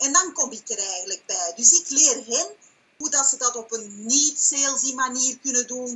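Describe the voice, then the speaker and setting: Keeping ordinary pitch variation, a woman speaks at a moderate pace in a high voice. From Belgium (Flanders). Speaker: online business owner and coach. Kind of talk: sales pitch and interview answers. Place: home room. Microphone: webcam.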